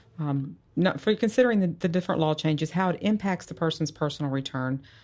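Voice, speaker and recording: Recorded very cleanly against a silent background, a woman with an American accent and an unremarkable speaking voice talks at a fairly quick pace, fairly low in pitch, with lively intonation. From Texas, Dallas area. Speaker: tax accountant. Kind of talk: interview.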